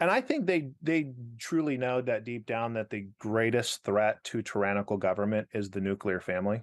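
A man with an American accent talks at a moderate pace in an ordinary speaking voice, medium in pitch with ordinary pitch variation and hardly any pauses, recorded dry and close with no echo against a quiet background. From Arizona. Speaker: pastor. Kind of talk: casual interview.

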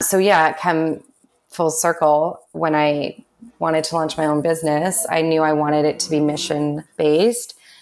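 In a Canadian accent, a woman talks at a moderate pace with a very deep, low pitch and fairly even intonation. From Canada, Vancouver. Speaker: entrepreneur. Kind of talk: casual chat.

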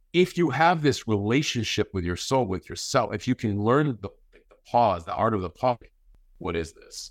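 A man uses a normal speaking voice at a medium pitch with lively intonation. The recording is very clean with a silent background and a dry, close sound with no echo. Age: 40s. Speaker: podcast host appearing as guest. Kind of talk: casual chat.

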